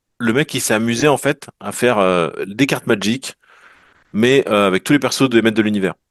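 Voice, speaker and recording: Moderate pace and ordinary pitch variation, with a dry, close sound free of echo over a quiet background. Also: man, medium pitch for a man. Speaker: collector of vintage toys and trading cards. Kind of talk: casual chat. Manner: animated.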